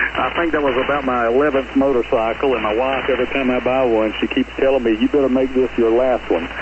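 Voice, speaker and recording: A man with a medium pitch talks at a very fast pace with hardly any pauses, fairly even intonation and very even loudness over noticeable background noise. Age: 60s. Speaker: ham radio operator checking into a net. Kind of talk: radio net check-in. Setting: amateur radio transmission.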